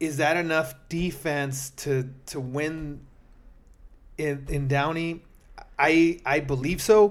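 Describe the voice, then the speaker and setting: Fairly even intonation from a man with a fairly high voice. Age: 40s. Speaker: podcast host and amateur flag football player. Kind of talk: casual sports talk.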